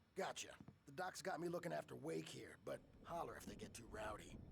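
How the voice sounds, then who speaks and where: Over clear background noise, a man puts on a raspy character voice at a fairly high pitch and a fairly quick pace. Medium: video game.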